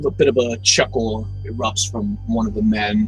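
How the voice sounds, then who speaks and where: With clear music in the background, a man in a put-on character voice speaks at a moderate pace in a fairly low pitch. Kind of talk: dark gothic story narration. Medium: solo performance. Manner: slow, halting, with filler pauses.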